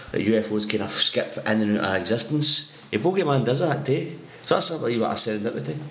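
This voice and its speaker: Over noticeable background noise, a man with a Scottish accent talks very fast at a medium pitch with lively intonation. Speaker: podcast co-host. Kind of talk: casual chat. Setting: home microphone.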